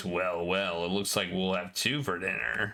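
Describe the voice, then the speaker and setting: A man puts on a character voice with a very deep, low pitch. He keeps a moderate pace. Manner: evil, menacing.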